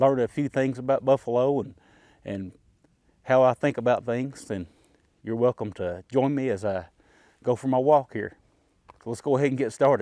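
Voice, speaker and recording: A man's medium-pitched voice with an Appalachian accent, ordinary pitch variation, a moderate pace and long, frequent pauses. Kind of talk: casual vlog talk while walking. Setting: outdoors.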